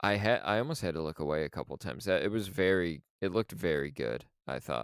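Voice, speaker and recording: Very deep and low, a man's voice carries vocal fry and lively intonation. The recording is very clean with a silent background, dry and close with no echo. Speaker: podcast co-host. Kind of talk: casual podcast chat. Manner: slow.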